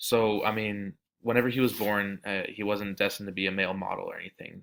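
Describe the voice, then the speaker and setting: A fairly low-pitched man with an American accent, bright and sharp in tone, flat in intonation, at a moderate pace on a very clean recording with a silent background. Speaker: student. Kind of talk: class presentation. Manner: halting; casual.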